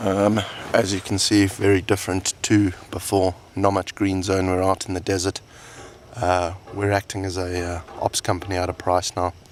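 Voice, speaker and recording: With noticeable background noise behind him, a man speaks in a very deep, low pitch with monotone, flat intonation. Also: moderate pace. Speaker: soldier keeping a video diary. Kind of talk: video diary. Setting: outdoors in the desert in Afghanistan. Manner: quiet, speaking softly.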